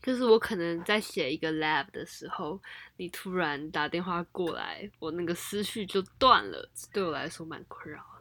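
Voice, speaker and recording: This voice has a bright, sharp tone, ordinary pitch variation and big swings in loudness, moving at a moderate pace. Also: woman, fairly low pitch for a woman. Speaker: university student. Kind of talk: casual chat. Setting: at home.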